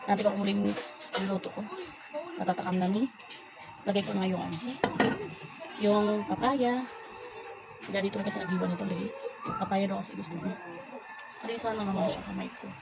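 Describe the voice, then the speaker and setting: With music in the background, a woman at a medium pitch speaks at a fairly quick pace with fairly even intonation and long, frequent pauses. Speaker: cooking vlogger. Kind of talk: casual cooking vlog. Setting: outdoors. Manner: halting.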